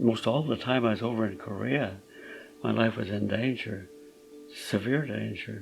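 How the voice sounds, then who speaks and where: A man with a fairly low pitch and ordinary pitch variation speaks at a moderate pace, with long, frequent pauses. Music plays in the background. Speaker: Korean War veteran. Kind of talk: interview answer. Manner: hesitant, reflective.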